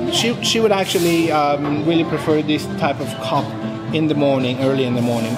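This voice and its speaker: A man at a moderate pace with ordinary pitch variation, over loud background music. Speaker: coffee reviewer. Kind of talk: casual vlog review. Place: cafe. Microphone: phone near.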